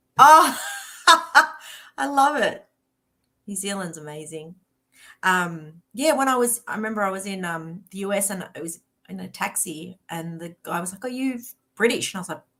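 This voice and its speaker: A woman with a strong Australian accent speaks at a moderate pace and medium pitch, her tone bright and sharp. Her intonation is lively, her loudness swings widely, and she leaves long, frequent pauses. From Australia, Melbourne, Victoria. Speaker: author. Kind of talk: casual chat.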